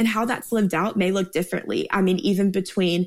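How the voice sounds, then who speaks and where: Vocal fry in a woman's voice, pitch moving in an ordinary way. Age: 20s. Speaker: ministry staff member and Bible teacher. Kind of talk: Bible teaching. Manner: animated.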